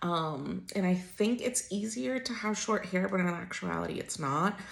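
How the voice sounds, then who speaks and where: A woman at a medium pitch and a fairly slow pace, with noticeable background noise. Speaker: lifestyle vlogger. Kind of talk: casual vlog talk to camera. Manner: chatty, filler words.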